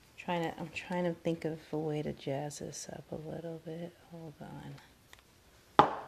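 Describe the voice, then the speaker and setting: Soft-spoken and fairly slow, a woman speaks at a fairly low pitch with monotone, flat intonation. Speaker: craft hobbyist. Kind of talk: tutorial. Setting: at home, child asleep nearby. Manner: casual.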